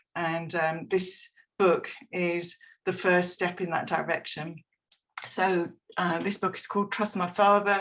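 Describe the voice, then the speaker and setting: A woman's fairly low, monotone, flat voice at a fairly slow pace, with long, frequent pauses. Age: 60s. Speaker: retired comics artist. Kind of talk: presentation. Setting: video call.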